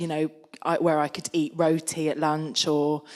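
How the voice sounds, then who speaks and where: A woman with a London accent speaks at a very slow pace in a very deep, low pitch and a monotone, flat intonation. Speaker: artist panelist. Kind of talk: panel Q&A discussion. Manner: halting.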